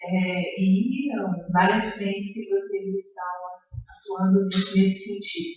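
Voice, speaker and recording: In a room with audible echo, a woman talks at a very slow pace with ordinary pitch variation. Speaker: education professor on a panel. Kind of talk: panel talk at academic seminar. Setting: seminar room with audience, microphone. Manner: hesitant, many fillers.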